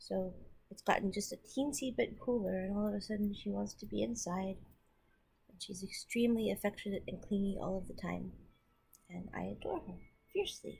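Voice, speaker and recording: A woman mumbles at a fairly quick pace, with long, frequent pauses and big swings in loudness. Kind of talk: casual talk to camera. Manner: mumbly, repetitive.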